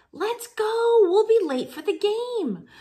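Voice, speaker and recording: A woman uses a put-on character voice that is squeaky and extremely high-pitched. She delivers it at a fairly slow pace. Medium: read story. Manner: coaching, emphatic.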